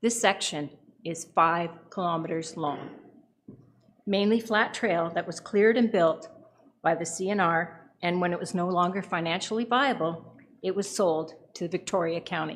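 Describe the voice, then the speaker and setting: A woman with a Canadian accent has a plain, everyday voice and a fairly low pitch. She talks at a moderate pace with ordinary pitch variation. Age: 60s. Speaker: retired nurse, public deputant. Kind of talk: public deputation to council. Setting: council meeting.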